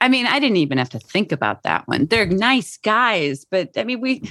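Speaking at a moderate pace with an American accent, a woman shows vocal fry and very wide pitch swings. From Chicago, US Midwest. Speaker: actor. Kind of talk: casual chat. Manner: playful, joking.

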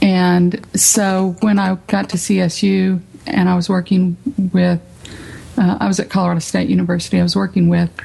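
Someone with an American accent speaks at a moderate pace in a flat monotone. Noticeable background noise is present. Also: woman, medium pitch for a woman, very even loudness. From South Texas, Rio Grande Valley. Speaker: arts center director. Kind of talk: radio interview.

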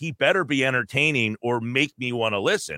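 This man's voice has vocal fry and a bright, sharp tone. He speaks at a moderate pace. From New Jersey. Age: 40s. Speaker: sports radio host. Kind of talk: casual chat.

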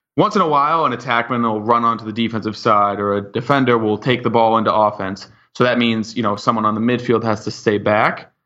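In an American accent, a man at a medium pitch talks very fast with hardly any pauses and fairly even intonation. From Boston area, US. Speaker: professional lacrosse player. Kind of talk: interview.

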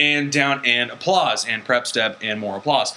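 Medium-pitched male speech with ordinary pitch variation and noticeable background noise. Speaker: podcast host. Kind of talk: casual comedic banter podcast.

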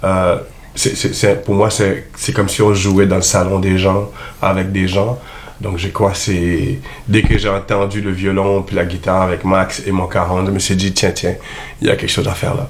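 A man's fairly low, monotone, flat voice at a moderate pace, with long, frequent pauses, noticeable background noise and audible room echo. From Montreal, African roots. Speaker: musician. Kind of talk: radio interview.

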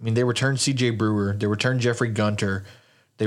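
This man talks at a very fast pace, his medium pitch locked in a monotone, flat intonation. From Louisiana. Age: 20s. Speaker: sports podcast host and college football writer. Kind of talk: casual sports chat.

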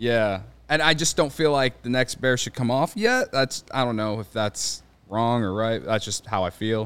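A man with an American accent and a normal speaking voice talks at a moderate pace, medium pitch and ordinary pitch variation. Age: 30s. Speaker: baseball podcaster. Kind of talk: casual chat.

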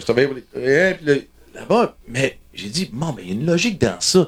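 The voice carries an Ontario accent and vocal fry, with very wide pitch swings. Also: man. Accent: Franco-Ontarian accent, says he has one. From Ontario (francophone, Timmins area). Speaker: musician, member of the band. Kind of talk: casual chat. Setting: backstage dressing room. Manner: halting, repeats words.

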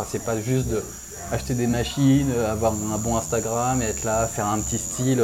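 Moderate-paced speech with audible room echo and noticeable background noise. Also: man. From Réunion. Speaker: tattoo artist. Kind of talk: interview. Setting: tattoo shop. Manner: halting.

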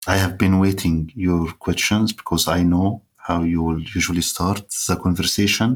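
A man's very deep, low voice in an Arabic accent, at a moderate pace with hardly any pauses, very even loudness and fairly even intonation. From Egypt. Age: 30s. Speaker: writer. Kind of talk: interview conversation. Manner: halting.

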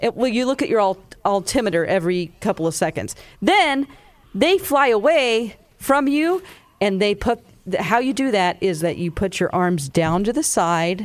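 At a moderate pace and very even loudness, a woman with an American accent and a medium pitch makes very wide pitch swings. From US South. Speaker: radio host. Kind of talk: casual chat.

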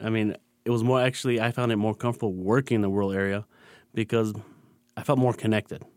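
Delivered very fast in a flat monotone with an American accent, the speech holds very even loudness yet has long, frequent pauses, in a dry, close, echo-free and very clean recording with a silent background. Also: man, medium pitch for a man. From Michigan, Dearborn. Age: young. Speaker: hospital physician. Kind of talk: interview conversation. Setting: studio.

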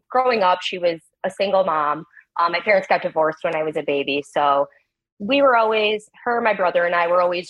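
A woman with an ordinary speaking voice talks at a moderate pace. Her pitch is medium and her intonation lively. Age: 30s. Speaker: stay-at-home mom seeking advice. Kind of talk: advice call.

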